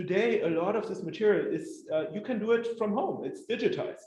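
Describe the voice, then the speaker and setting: Speaking with a German accent, a man uses a high pitch with very wide pitch swings at a fairly quick pace. Audible room echo surrounds his voice. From northwest Germany. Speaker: historian. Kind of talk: lecture. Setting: community hall with audience. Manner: halting, many fillers.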